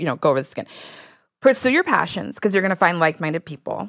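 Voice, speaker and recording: A woman's voice with vocal fry and an American accent. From Texas. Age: 40s. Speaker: podcast host. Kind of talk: casual chat.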